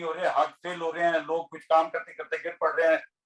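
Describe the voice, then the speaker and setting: The man speaking has a high pitch. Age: 60s. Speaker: health educator. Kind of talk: talk to online audience. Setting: video call.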